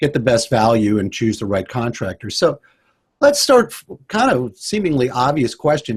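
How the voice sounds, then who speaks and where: Speaking at a fairly quick pace, a man talks. His pitch sits in the medium range. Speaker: radio show host. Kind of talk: interview. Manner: loud.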